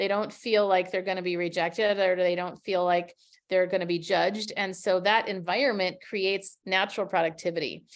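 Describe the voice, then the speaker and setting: A woman speaks with an American accent at a medium pitch and a fairly quick pace. Her intonation stays monotone and flat. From US Midwest, Minnesota. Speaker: communication coach. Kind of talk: webinar presentation.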